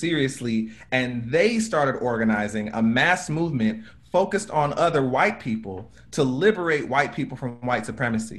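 This is an unremarkable speaking voice with lively intonation. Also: man. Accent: American. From United States. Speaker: racial justice activist. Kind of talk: panel talk. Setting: video call.

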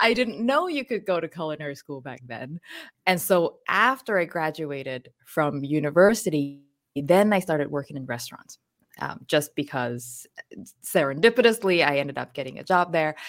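A woman in a Thai accent with a very deep, low pitch, very wide pitch swings, big swings in loudness and a moderate pace. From southern Thailand. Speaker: chef and cookbook author. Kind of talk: casual interview.

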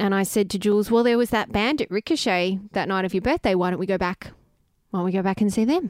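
A very fast-talking woman with an Australian accent, medium pitch and ordinary pitch variation, in a dry, close sound with no echo on a very clean recording with a silent background. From Melbourne, Australia. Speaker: singer-songwriter, host's wife. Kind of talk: casual chat. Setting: at home.

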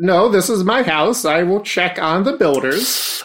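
A man does a put-on character voice at a high pitch, moving at a fairly slow pace. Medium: actual play. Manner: formal, overly polite.

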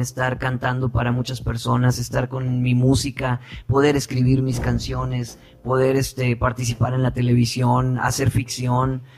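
This man talks at a fairly slow pace and a medium pitch. His voice is somewhat breathy. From Sinaloa, Mexico (Guasave). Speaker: actor and singer. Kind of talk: interview.

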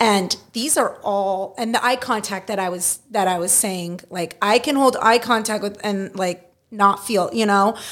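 A woman with a Californian accent speaks at a fairly slow pace with hardly any pauses, her medium pitch moving with ordinary variation, on a very clean recording with a silent background. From US West Coast, Los Angeles San Fernando Valley. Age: 30s. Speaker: improviser and court reporter. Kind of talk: casual chat. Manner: animated.

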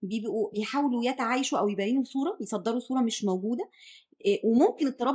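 At a fairly quick pace, a woman speaks in a high pitch with lively intonation. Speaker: podcast host, nutrition specialist. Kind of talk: interview.

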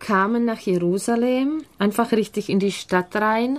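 A woman talks at a very slow pace with a Czech accent. Her pitch varies in an ordinary way. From Czech Republic, near Prague. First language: Czech (speaking German). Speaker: mother of five living abroad. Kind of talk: radio interview. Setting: studio.

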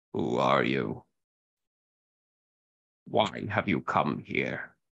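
In a put-on character voice, a man speaks very slowly at a very deep, low pitch with a raspy sound.

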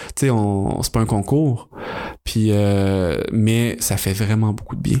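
The tone is dark and mellow, captured in a very clean recording with a silent background. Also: man. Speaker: podcast host, former physical education teacher. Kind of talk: casual chat. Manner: halting, many fillers.

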